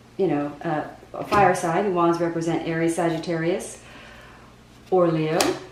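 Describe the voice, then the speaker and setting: A woman speaks in a flat monotone at a fairly low pitch, with long, frequent pauses, noticeable background noise and audible room echo. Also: moderate pace. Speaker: tarot reader. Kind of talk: tarot reading monologue. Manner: halting, many fillers and repeats; speaking at moderate volume after test.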